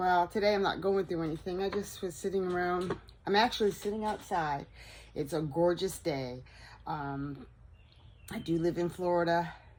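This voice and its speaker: Speaking at a moderate pace with ordinary pitch variation, a woman leaves long, frequent pauses. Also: fairly low pitch for a woman. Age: 60s. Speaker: vlogger. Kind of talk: casual chat. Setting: outdoors.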